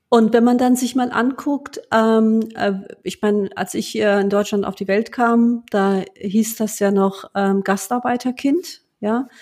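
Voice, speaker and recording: Speaking at a very slow pace, a woman uses a fairly high voice with ordinary pitch variation. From Germany, Lower Rhine (Duisburg, Rheinberg). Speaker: bank executive. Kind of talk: interview conversation. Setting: home office, remote call. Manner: many hesitations (ähm).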